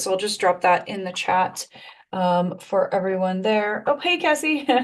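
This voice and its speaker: A woman speaks at a moderate pace in a medium pitch, with noticeable background noise. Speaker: tech coach. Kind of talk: live webinar tutorial. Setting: live stream video call.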